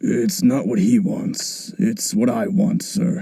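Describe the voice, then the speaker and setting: In a raspy, put-on character voice, a man speaks at a high pitch and a fairly slow pace. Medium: machinima. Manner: polite, addresses elder as sir.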